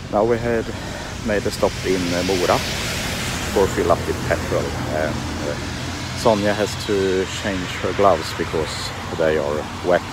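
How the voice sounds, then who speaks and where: A man speaks at a fairly slow pace with long, frequent pauses and ordinary pitch variation. Loud background noise fills the dry recording with no echo. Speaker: motorcycle traveller vlogger. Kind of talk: casual vlog chat. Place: street. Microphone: phone near.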